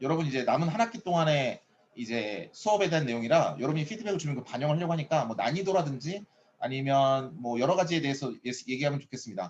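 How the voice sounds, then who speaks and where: A man's fairly high voice at a very fast pace. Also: lively intonation. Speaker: professor. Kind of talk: lecture. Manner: animated.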